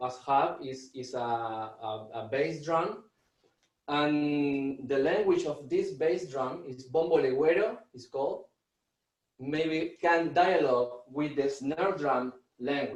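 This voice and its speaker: A man with an Argentine accent speaks very slowly in a fairly high voice, with ordinary pitch variation. His loudness swings a great deal. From Argentina. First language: Spanish. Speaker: drummer and music teacher. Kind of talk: online workshop presentation. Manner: halting, with many repetitions and fillers.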